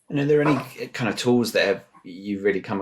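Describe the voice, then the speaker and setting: On a very clean recording over a silent background, a man talks with a British accent. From UK. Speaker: podcast host. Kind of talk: podcast interview.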